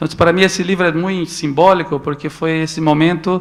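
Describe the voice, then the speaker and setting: Fairly high-pitched man at a moderate pace, with fairly even intonation. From Brazil, Northeast. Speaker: photo book editor. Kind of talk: talk to an audience. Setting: stage with audience at a photo book festival. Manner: halting, with repetitions.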